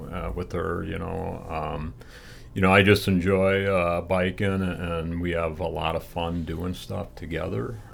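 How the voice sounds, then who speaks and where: Very deep, low male speech at a fairly slow pace, with fairly even intonation and audible room echo. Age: 60s. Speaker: long-distance cyclist and charity fundraiser. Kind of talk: interview. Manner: hesitant, many fillers.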